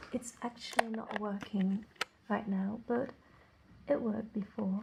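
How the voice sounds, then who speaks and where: Long, frequent pauses from a woman with fairly high pitch, over noticeable background noise. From Netherlands. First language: Dutch. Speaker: vlogger. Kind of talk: vlog.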